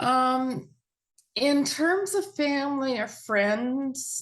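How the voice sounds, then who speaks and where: A woman speaking against a quiet background. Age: 60s. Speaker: mental health advocate sharing recovery story. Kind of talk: interview testimony.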